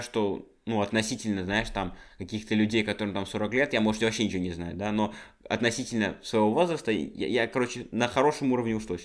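Heard in a very clean recording against a silent background, an unremarkable speaking voice shifts pitch in an ordinary way. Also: man. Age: 20s. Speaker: podcast co-host. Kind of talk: casual chat.

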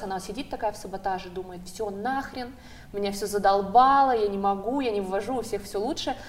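In a normal speaking voice, a woman talks at a fairly quick pace with medium pitch and ordinary pitch variation. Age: 20s. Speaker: psychologist-sexologist. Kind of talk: talk-show discussion.

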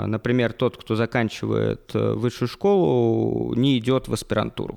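A man speaks at a fairly slow pace. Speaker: university lecturer. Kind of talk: interview. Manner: formal.

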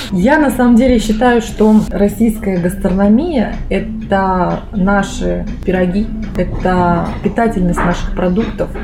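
Against noticeable background noise and audible room echo, a woman talks at medium pitch with ordinary pitch variation. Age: 30s. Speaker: food technologist. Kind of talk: casual interview.

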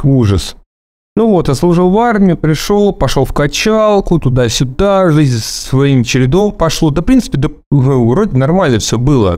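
Dark, mellow tone, very wide pitch swings and very even loudness at a fairly slow pace with long, frequent pauses. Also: man. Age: 30s. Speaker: bus driver. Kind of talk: personal testimony. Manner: halting.

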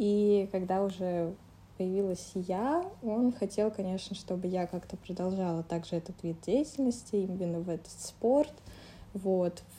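A somewhat breathy woman's voice of medium pitch, dark, mellow tone, ordinary pitch variation, and fairly slow pace. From Moscow, Russia. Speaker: former synchronized swimmer. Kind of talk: interview. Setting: studio.

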